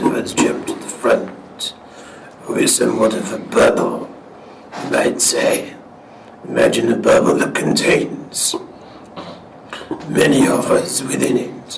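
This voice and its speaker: Using a put-on character voice at a moderate pace with long, frequent pauses, the speaker is heard with slight echo and clear background noise. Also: man. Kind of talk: trance channelling address to an audience.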